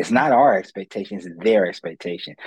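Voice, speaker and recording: The recording of a man with an American accent sounds dry and close, with no echo. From Ohio, US Midwest. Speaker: motivational speaker and career counselor. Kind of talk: interview.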